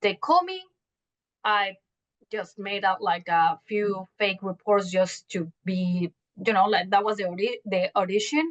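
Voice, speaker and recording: A woman with a Mexican accent speaks at a medium pitch and a fairly slow pace with ordinary pitch variation, the sound dry and close with no echo. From Mexico City. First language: Spanish. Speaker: journalist. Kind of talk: interview. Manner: halting.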